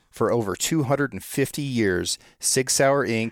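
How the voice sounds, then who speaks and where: A man with an unremarkable speaking voice and ordinary pitch variation. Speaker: podcast host. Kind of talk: scripted narration.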